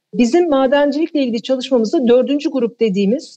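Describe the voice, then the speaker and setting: A woman is speaking. Her intonation is lively. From Turkey, Eskişehir. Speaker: environmental foundation chair. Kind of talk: radio interview.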